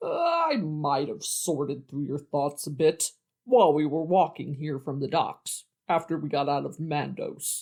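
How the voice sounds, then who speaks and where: A man puts on a character voice with fairly high pitch. He keeps a moderate pace. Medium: audio drama. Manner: petulant, pestering, smug.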